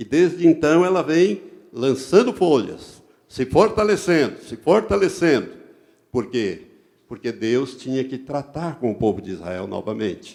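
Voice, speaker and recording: On a very clean recording with a silent background, a man of medium pitch talks at a fairly slow pace with very wide pitch swings. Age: 70s. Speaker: pastor. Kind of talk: sermon.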